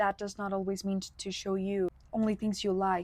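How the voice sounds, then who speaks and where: A woman with a Spanish accent at a moderate pace. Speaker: content creator. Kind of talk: casual unscripted video podcast. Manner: casual, many fillers.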